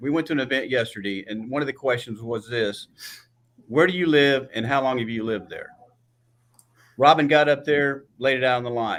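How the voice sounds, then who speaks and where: A man with a Texan accent at a fairly quick pace, with fairly even intonation. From Texas Gulf Coast. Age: 60s. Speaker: political candidate. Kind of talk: candidate forum debate.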